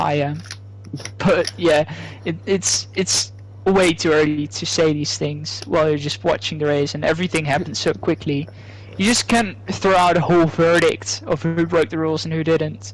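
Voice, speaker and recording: The speaker talks at a moderate pace with a Dutch accent against noticeable background noise. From Netherlands, not the south. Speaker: esports race commentator. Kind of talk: live commentary.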